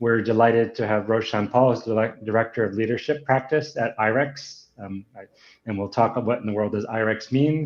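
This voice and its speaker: A man's medium-pitched voice at a fairly quick pace with fairly even intonation. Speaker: podcast host. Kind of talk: livestream interview introduction. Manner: fast.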